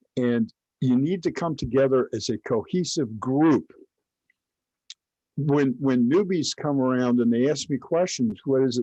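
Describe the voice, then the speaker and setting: Using long, frequent pauses, a man with an American accent speaks fairly slowly in a medium-pitched, dark and mellow voice with ordinary pitch variation. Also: dry, close sound with no echo. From Kentucky. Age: 70s. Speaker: religious teacher. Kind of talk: online class. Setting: live stream. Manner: halting.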